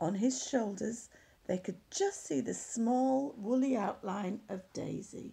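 The text is read aloud plainly, and the pitch shifts in an ordinary way.

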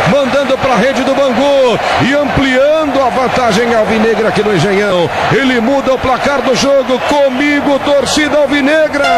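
Here a man's pitch is extremely high, with ordinary variation and a moderate pace. His loudness stays very even over noticeable background noise. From Brazil. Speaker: radio sports announcer. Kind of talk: live radio football match commentary. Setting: radio broadcast from stadium.

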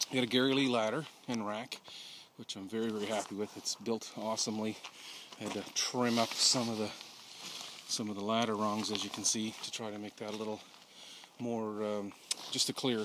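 Amid noticeable background noise, a man with a fairly low voice speaks at a fairly quick pace in a monotone, flat way, the sound dry with no echo. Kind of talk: casual walkaround commentary. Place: open country. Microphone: phone near.

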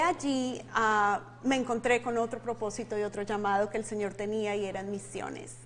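Speaking at a moderate pace, a woman uses a fairly high voice with ordinary pitch variation. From Colombia. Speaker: ministry leader and life coach; life coach. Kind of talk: interview. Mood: warm, smiling. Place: studio. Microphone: lapel.

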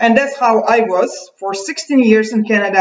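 A woman talks at a fairly slow pace with ordinary pitch variation. Room echo is audible, though the background stays quiet. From Uzbekistan, USSR. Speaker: video blogger. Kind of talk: monologue rant to camera. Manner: agitated, bitter, hesitant with fillers. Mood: aggrieved, intense. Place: home room. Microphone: webcam.

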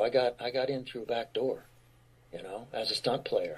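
A man is speaking. His pace is moderate. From Pennsylvania, west of Philadelphia (military childhood). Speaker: actor. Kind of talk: casual chat.

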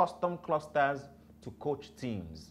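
At a fairly slow pace, a man delivers his words. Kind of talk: lecture-style talk to camera. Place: studio.

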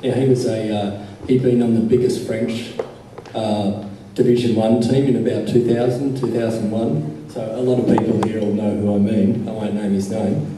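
There is audible room echo and light background noise. A man speaks at a moderate pace with fairly even intonation. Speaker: audience member. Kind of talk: audience comment at a panel discussion. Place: hall.

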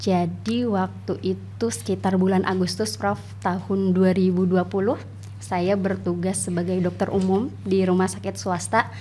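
A woman at a fairly slow pace, her loudness very even, over light background noise. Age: 30s. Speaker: doctor and tuberculosis survivor. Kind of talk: interview. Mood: calm, reflective, warm. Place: studio. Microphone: studio mic.

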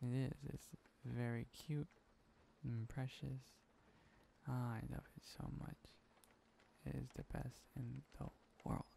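A man's dark, mellow, soothing voice at medium pitch, somewhat breathy and fairly even in intonation, at a very slow pace with long, frequent pauses. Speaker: asmr voice actor playing boyfriend. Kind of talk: asmr boyfriend roleplay, whispered close-mic. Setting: close-mic audio recording. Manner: tender, sleepy, soothing.

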